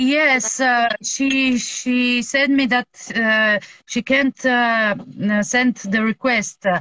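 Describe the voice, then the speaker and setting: In a Bulgarian accent, the speaker goes at a very slow pace with hardly any pauses, fairly even intonation, very even loudness, and a bright, sharp tone, recorded dry with no echo against a quiet background. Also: woman, high pitch for a woman. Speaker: music fan; guest. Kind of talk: casual chat. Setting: video call. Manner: halting, searches for English words. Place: home room. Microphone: video call.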